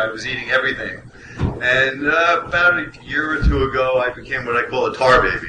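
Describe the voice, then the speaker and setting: Over noticeable background noise and audible room echo, a man with a medium pitch speaks. His pace is fairly quick and his intonation fairly even. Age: 60s. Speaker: cannabis researcher on a panel. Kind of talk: panel discussion.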